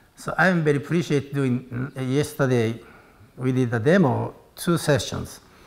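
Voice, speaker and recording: Ordinary pitch variation marks a man's speech, which proceeds at a fairly slow pace. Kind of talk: interview answer.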